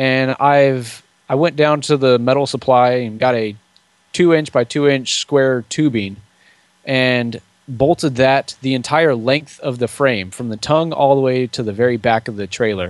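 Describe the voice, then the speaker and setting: A man at a fairly slow pace, dry sound with no echo, quiet background. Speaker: podcaster and DIY trailer builder. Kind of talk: casual interview chat. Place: home room. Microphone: studio mic.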